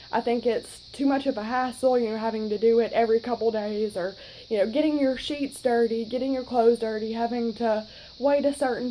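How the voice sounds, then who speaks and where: A woman's dark, mellow voice, monotone and flat, at a fairly quick pace. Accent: Southern US. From US South, North Alabama. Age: 20s. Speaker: vlogger. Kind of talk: casual vlog talk. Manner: chatty, many fillers.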